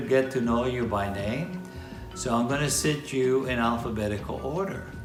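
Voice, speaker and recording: The speech moves at a fairly slow pace with ordinary pitch variation, and music plays in the background. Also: man. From Puerto Rico. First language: Spanish. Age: 80s+. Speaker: Vietnam War veteran. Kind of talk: casual talk to camera.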